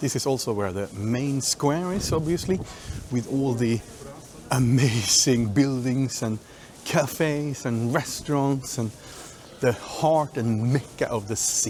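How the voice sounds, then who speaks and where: A man's medium-pitched voice at a fairly slow pace, with ordinary pitch variation and noticeable background noise. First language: not English. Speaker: travel vlogger. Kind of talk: casual vlog commentary. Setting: outdoors. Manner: halting.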